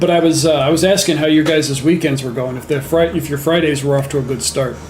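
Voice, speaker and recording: Over noticeable background noise and audible room echo, a man talks very fast in a fairly high voice with fairly even intonation. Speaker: gaming livestreamer. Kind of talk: casual livestream chat. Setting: home livestream with headset. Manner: hesitant, many fillers.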